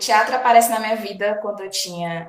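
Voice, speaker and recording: Ordinary pitch variation from a female speaker, room echo audible. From Brazil, Bahia/Minas Gerais border. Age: 30s. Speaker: physical education teacher and cultural project coordinator. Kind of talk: interview. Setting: online recording.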